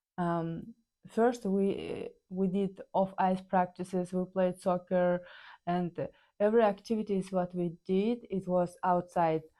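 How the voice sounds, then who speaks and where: A woman speaks at a fairly slow pace in a Kazakh accent, her medium pitch dark and mellow with a monotone, flat intonation. The recording is very clean, with a silent background. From Kazakhstan. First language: Kazakh or Russian. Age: 30s. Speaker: ice hockey player. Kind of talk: personal storytelling. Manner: halting, many fillers.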